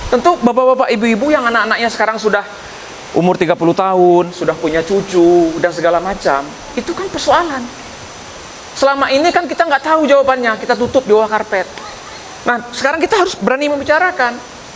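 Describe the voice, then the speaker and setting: A man's extremely high voice with a Minang accent, very wide pitch swings and a very fast pace, over noticeable background noise. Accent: Minang-accented Indonesian. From West Sumatra, Indonesia. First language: Minangkabau (speaking Indonesian). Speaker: professor, candidate for community association chair. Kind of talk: campaign speech with Q&A.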